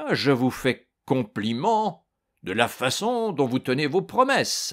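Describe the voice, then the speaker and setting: Shouting in a booming, put-on character voice, a man speaks at a fairly slow pace with a fairly high pitch and very wide pitch swings. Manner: shouting, sarcastic.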